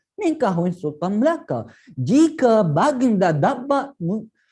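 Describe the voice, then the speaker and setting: Against a quiet background, a man with a dark, mellow tone talks at a very slow pace, his pitch swinging very widely. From Yemen. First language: Arabic (speaking Indonesian). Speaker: PhD student. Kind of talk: storytelling. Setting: online live event.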